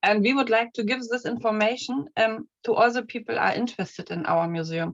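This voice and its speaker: Here a woman speaks with a German accent. Her pace is moderate. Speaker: museum collection manager. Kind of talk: conference presentation. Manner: halting.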